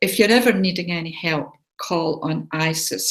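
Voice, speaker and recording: Fairly low in pitch, a woman talks at a fairly slow pace with ordinary pitch variation. It is an ordinary speaking voice. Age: 60s. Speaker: spiritual healer and show host. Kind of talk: casual talk to a live online audience.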